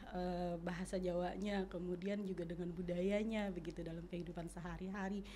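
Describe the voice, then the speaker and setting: A woman speaks at a fairly quick pace with hardly any pauses and monotone, flat intonation, amid noticeable background noise and audible room echo. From Jakarta, Betawi community. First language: Betawi Malay (speaking Indonesian). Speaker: language expert. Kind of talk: podcast interview.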